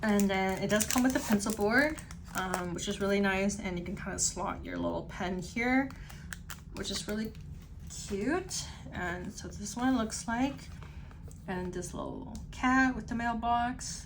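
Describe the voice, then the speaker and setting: A woman speaks quietly at a medium pitch and a fairly slow pace, with long, frequent pauses. Her pitch varies in an ordinary way, and the room echo is audible. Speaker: stationery YouTuber. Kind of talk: unboxing review. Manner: casual, filler-heavy; slightly quieter, pulled away.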